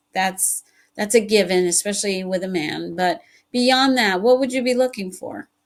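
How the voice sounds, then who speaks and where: A woman's medium-pitched voice in a Spanish accent at a moderate pace. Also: ordinary pitch variation, very clean recording, silent background. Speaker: podcast host. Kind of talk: casual interview chat.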